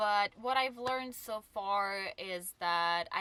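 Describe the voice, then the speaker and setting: Very slowly, a woman with a non-native accent speaks in a bright, sharp tone. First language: not English. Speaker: full-time van dweller. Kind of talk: casual Q&A talk to camera. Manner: hesitant, many filler sounds.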